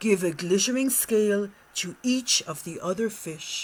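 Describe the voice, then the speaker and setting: Someone is doing a put-on character voice at a fairly high pitch. The pace stays moderate. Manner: wise, mysterious, advising.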